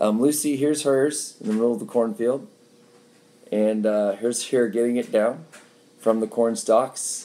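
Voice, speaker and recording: A man mumbles in a dark, mellow tone at a fairly slow pace. His pitch varies in an ordinary way. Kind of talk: live video update. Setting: live stream. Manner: halting, many fillers; mumbling.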